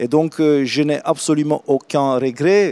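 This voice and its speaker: Dark, mellow tone from a man with a Romanian accent and fairly high pitch, at a moderate pace with fairly even intonation, in a dry, close sound with no echo. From Romania, Craiova. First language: Romanian (speaking French). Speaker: real estate executive. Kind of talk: interview. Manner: hesitant, many fillers.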